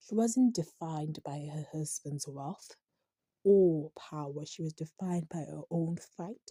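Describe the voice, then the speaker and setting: The speech moves at a fairly slow pace in a dark, mellow, somewhat breathy tone with ordinary pitch variation. Loudness swings a lot, and the sound is dry and close with no echo. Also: woman, very deep, low pitch for a woman. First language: not English. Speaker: TV series reviewer. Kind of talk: commentary reading from a script with asides. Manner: halting, stumbles over words.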